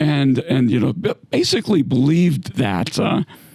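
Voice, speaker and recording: A man speaks with a fairly high pitch. Noticeable background noise can be heard. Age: 60s. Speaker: retired navy submarine captain. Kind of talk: casual chat. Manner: halting.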